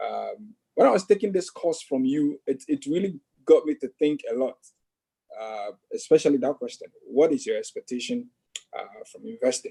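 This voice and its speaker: A man with a strong African accent at a moderate pace, big swings in loudness, and a dry, close sound with no echo. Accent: thick African. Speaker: investing student. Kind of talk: casual chat. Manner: halting, many fillers.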